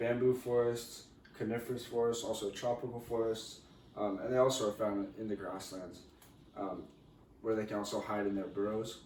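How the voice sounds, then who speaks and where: A man at a medium pitch, fairly even in intonation, moderate in pace, with noticeable background noise. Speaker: university student. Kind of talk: class presentation.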